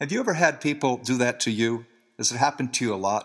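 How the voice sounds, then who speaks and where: A man's medium-pitched voice with an American accent, very fast pace and lively intonation, on a very clean recording with a silent background. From US Northeast, New Jersey. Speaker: Bible teacher. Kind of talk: scripted talk.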